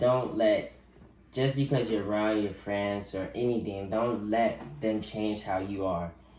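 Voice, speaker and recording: Amid audible room echo, a man speaks with a fairly low pitch and fairly even intonation. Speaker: youth interview guest. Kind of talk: interview. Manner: halting, self-correcting.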